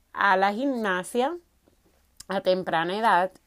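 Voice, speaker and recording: Talking very slowly with a Dominican accent, a woman uses a medium pitch and lively intonation. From Dominican Republic, Salcedo. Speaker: podcast host, fitness coach. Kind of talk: personal storytelling monologue.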